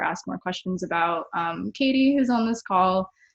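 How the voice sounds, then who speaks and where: At a moderate pace, a woman talks in a General American accent. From Arizona, Cave Creek near Phoenix. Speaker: artist and tech worker leading a workshop. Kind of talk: casual webinar talk. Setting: video call webinar. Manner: hesitant, many fillers.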